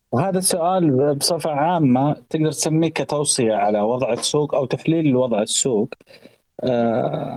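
Speaking with very even loudness, a man has a dark, mellow tone. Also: fairly high pitch for a man, ordinary pitch variation, fairly slow pace. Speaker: economic commentator. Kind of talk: casual chat.

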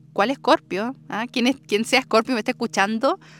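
A woman with a fairly high pitch is heard. The recording is very clean with a silent background, and the sound is dry and close with no echo. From southern Chile, rural Andes. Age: 20s. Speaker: podcast host. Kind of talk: personal storytelling monologue. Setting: outdoors in the countryside. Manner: warm, affectionate.

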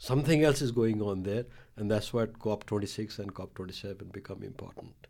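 A man with a Nepali accent, fairly low-pitched and dark and mellow in tone, at a fairly quick pace with ordinary pitch variation and big swings in loudness. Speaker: climate and disaster risk expert. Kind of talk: interview conversation.

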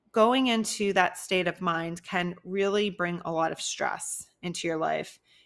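Speaking at a fairly slow pace with fairly even intonation, a woman with an unremarkable speaking voice and an American accent talks at medium pitch on a very clean recording with a silent background. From US Northeast, New Jersey near Philadelphia. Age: 30s. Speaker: online fitness coach and podcast host. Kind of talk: solo podcast monologue.

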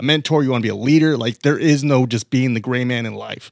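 A man at a very fast pace with ordinary pitch variation, in a very clean recording with a silent background. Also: dry, close sound with no echo. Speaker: podcast producer and co-host. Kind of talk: ad reads and casual chat. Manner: upbeat.

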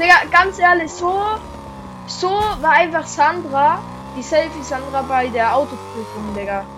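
Amid noticeable background noise and audible room echo, a woman speaks at a moderate pace in an animated tone with very wide pitch swings. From Switzerland. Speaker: gaming YouTuber. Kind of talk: gameplay commentary.

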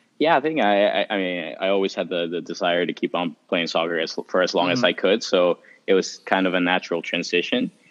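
Speaking at a very fast pace with a Spanish accent, a man uses a very deep, low pitch and ordinary pitch variation. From Mexico City. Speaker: international student. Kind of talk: casual chat.

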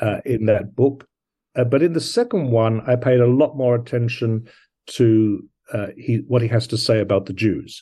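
In an Australian accent, a man talks at medium pitch and a moderate pace with fairly even intonation. His tone is dark and mellow against a quiet background. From London and Brisbane. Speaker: poet and scholar. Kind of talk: interview.

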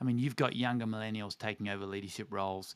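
Fairly even intonation from a man with an Australian accent and a fairly low pitch. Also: very clean recording, silent background. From Australia, Tasmania. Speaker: organization CEO and former pastor. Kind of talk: interview conversation.

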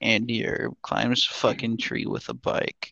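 Someone mumbles in a put-on character voice. The pace is fairly slow. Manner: deadpan, sluggish.

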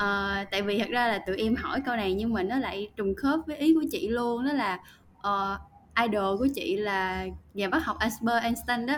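A woman's unremarkable speaking voice, an unremarkable speaking voice at a fairly high pitch with ordinary pitch variation and a moderate pace, on a very clean recording with a silent background. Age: 20s. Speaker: marketing and content professional, university student. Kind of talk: casual interview.

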